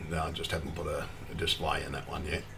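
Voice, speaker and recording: With audible room echo and noticeable background noise, a man talks fairly quickly. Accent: Australian. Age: 50s. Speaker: cannabis activist streamer. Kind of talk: casual livestream monologue. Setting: solo livestream at computer. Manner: rambling, halting.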